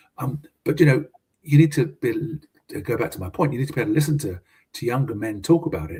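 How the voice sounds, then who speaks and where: Speaking at a very fast pace, a man with a British accent has a somewhat breathy, dark, mellow tone and very wide pitch swings. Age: 70s. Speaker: business consultant and mentor. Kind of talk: casual interview. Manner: halting, many fillers and repetitions.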